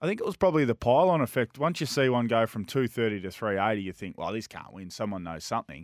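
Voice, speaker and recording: Very fast and with hardly any pauses, a man with an Australian accent speaks at medium pitch, his pitch swinging very widely. His loudness swings a lot, and the sound is dry and close with no echo. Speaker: radio tipster. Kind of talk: racing tips and race previews, with banter.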